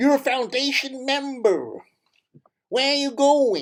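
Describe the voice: A put-on character voice, high-pitched, with ordinary pitch variation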